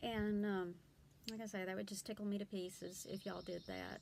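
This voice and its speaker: With an American accent, a woman speaks at a moderate pace and medium pitch in a monotone, flat delivery. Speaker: blogger and homeschooling mom. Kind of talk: casual vlog talk. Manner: hesitant, many fillers.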